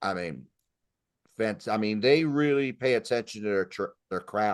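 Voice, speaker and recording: A man's plain, everyday voice, fairly low in pitch, with lively intonation at a moderate pace against a quiet background. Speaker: music podcast host. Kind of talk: casual chat.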